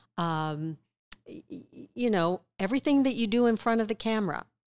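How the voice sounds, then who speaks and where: A woman with a plain, everyday voice speaks at a moderate pace with lively intonation. The recording is very clean with a silent background, and the sound is dry and close with no echo. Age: 60s. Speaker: author and former investigative reporter, speaker. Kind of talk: interview conversation.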